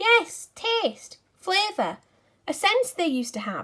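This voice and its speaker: A squeaky, female-sounding put-on character voice, extremely high in pitch with very wide pitch swings, at a fairly slow pace. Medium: read story. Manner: conspiratorial, teasing.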